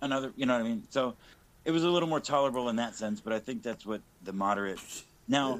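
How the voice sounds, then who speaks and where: A man with an American accent talks at a very fast pace in a medium pitch. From South Texas. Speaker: political commentator. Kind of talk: casual chat.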